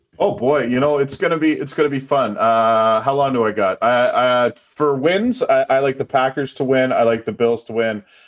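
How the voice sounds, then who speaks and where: Using a normal speaking voice at medium pitch, a man talks at a fairly quick pace with ordinary pitch variation and hardly any pauses. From Atlantic Canada. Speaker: sports betting analyst. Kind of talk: casual chat.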